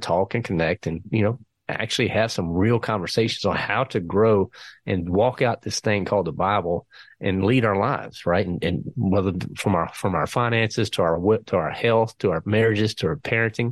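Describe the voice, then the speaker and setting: A man with an American accent, fairly low pitch and ordinary pitch variation, at a fairly quick pace, with a dry, close sound and a quiet background. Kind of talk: interview conversation.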